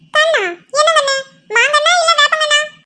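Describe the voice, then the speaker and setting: Putting on a cartoonish character voice, a woman talks at an extremely high pitch and a moderate pace with ordinary pitch variation. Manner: doting, fussy.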